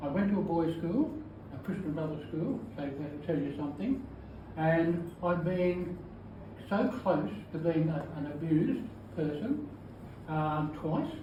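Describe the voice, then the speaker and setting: A man with a high pitch talks at a fairly slow pace, using lively intonation and long, frequent pauses. There is audible room echo and noticeable background noise. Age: 80s+. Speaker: retired teacher. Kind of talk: testimony. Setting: book launch with audience. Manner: halting.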